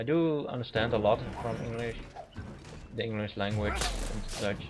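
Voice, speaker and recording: In a Dutch accent, a man with a medium pitch speaks at a moderate pace with ordinary pitch variation, with audible room echo and noticeable background noise. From Netherlands. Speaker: gaming commentator. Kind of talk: gameplay commentary. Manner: halting.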